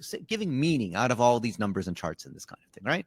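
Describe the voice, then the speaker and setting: A man's medium-pitched voice with lively intonation, dry and close with no echo. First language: not English. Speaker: marketing agency CEO. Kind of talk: interview.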